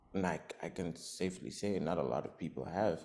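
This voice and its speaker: A man speaks at a very deep, low pitch with vocal fry. His tone is dark and mellow, and his pace is moderate. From Zimbabwe. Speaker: rapper and singer. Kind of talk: interview.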